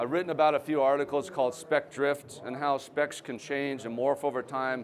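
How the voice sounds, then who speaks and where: In an ordinary speaking voice, a man speaks at a moderate pace with a fairly high pitch and fairly even intonation. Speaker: company founder and trade show speaker. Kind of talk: presentation. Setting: trade show stage with audience. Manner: conversational.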